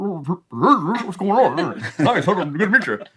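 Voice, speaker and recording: A man's high-pitched put-on character voice at a fairly slow pace. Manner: muffled, chewing while speaking.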